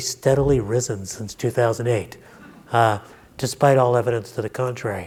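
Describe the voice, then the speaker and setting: A man talks with fairly even intonation in an unremarkable speaking voice. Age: 60s. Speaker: panelist. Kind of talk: panel discussion.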